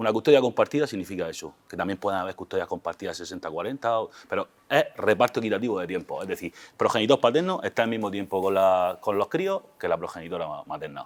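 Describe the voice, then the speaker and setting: In a Murcian accent, a man talks at a very fast pace, the sound dry and close with no echo. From Murcia, Spain. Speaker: family lawyer. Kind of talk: interview. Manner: casual, colloquial.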